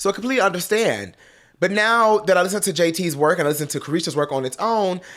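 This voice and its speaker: With a very fast pace and an American accent, a man sounds animated, his pitch swinging very widely on a very clean recording with a silent background. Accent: Detroit accent, slips out at times. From Detroit, US. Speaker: pop culture commentator. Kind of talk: casual commentary to camera.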